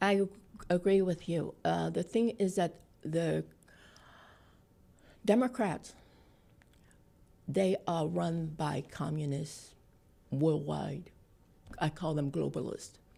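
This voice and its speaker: A woman with a Vietnamese accent speaks at a very slow pace. She leaves long, frequent pauses. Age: 60s. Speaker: political activist, refugee. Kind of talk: interview.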